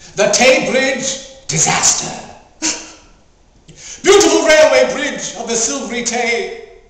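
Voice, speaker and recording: Lively intonation at a very slow pace, with long, frequent pauses and noticeable background noise. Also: man, extremely high pitch for a man. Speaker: actor. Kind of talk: poetry reading.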